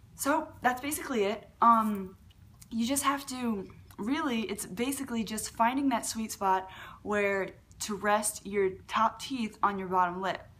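This woman's voice sits fairly high in pitch. She talks at a fairly slow pace. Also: ordinary pitch variation. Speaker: beatboxer and tutorial youtuber. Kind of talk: tutorial. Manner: casual, hesitant with many fillers. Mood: relaxed, friendly. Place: home room. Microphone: webcam.

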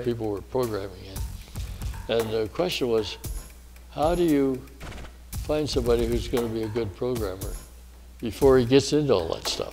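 Against faint background music, a man talks at a moderate pace, leaving long, frequent pauses. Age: 80s+. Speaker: retired air force colonel, war veteran. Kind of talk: interview answer. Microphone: lapel.

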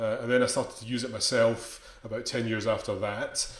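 A man talks at a fairly quick pace with audible room echo. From Scotland. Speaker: conducting teacher. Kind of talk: lecture. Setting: video call. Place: home room. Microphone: video call.

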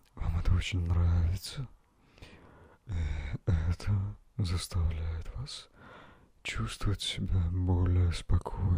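A man speaks very slowly in a very deep, low, somewhat breathy voice with ordinary pitch variation. The sound is dry with no echo, over a quiet background. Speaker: ASMR relaxation guide. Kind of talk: guided meditation. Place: home room. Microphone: handheld.

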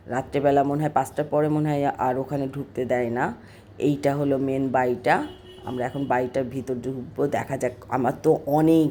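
Music plays behind the speaker. She is a woman with a very deep, low pitch. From Bangladesh, Kushtia. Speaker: vlogger. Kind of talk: travel vlog narration.

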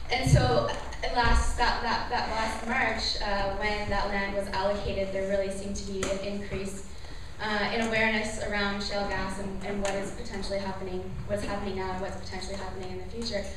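A woman talks at a fairly quick pace in a flat monotone, with audible room echo and noticeable background noise. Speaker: presenter. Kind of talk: public presentation. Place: hall. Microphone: camera far.

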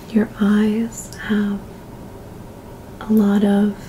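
There is light background noise. A woman is speaking. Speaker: ASMR creator. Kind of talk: ASMR role-play. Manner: soft-spoken. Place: home room.

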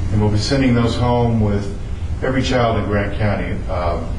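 A man's fairly low voice at a fairly quick pace, with audible room echo and noticeable background noise. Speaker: council presenter. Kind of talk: public presentation. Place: meeting room.

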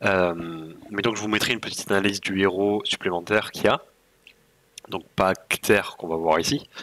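A man speaks at a fairly quick pace in a fairly low voice with a bright, sharp tone. His speech breaks up with long, frequent pauses. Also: fairly even intonation. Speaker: gaming YouTuber; strategy game guide creator. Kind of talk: video game tutorial. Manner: casual, with frequent hesitations. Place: home room.

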